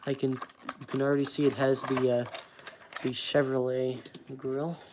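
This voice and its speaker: Moderately paced speech with an American accent over noticeable background noise. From Texas. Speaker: toy car collector streamer. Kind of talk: livestream unboxing commentary. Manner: casual, hesitant with fillers.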